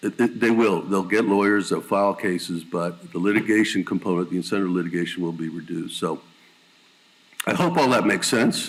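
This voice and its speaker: Fairly quick, fairly low-pitched speech from a man. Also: ordinary pitch variation. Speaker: lawyer and insurance consultant, panelist. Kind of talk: panel presentation. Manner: fast.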